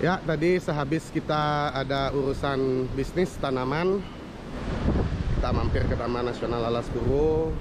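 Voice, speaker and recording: A man speaks at a moderate pace with ordinary pitch variation. The sound is dry with no echo, under loud background noise. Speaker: travel vlogger. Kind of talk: casual vlog chat. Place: beach. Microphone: phone near.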